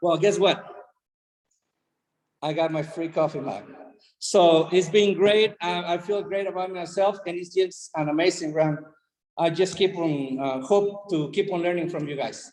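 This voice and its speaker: Speaking with a Spanish accent, a man uses a high pitch and fairly even intonation. His pace is moderate, with long, frequent pauses. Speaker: health coach. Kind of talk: testimony on group video call. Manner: halting.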